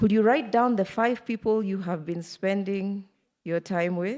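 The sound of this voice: On a very clean recording with a silent background, a woman speaks fairly slowly at a medium pitch, with fairly even intonation and a slightly mellow tone.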